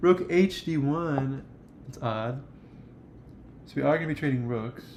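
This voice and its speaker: With big swings in loudness and an animated tone, a man speaks at a fairly high pitch with ordinary pitch variation. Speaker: chess streamer. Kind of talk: live game commentary. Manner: fast; casual, animated.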